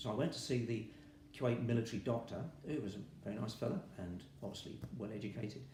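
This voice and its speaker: Audible room echo surrounds a man speaking at a very fast pace in a medium-pitched voice. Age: 70s. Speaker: retired army veteran, patient. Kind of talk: interview testimony.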